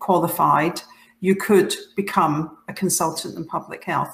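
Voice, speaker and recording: A woman with a Scottish accent speaks at a medium pitch, her voice carrying an audible room echo. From Scotland, Clydebank. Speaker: public health leader, professional body president. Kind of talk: conference talk. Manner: halting, with many fillers and restarts.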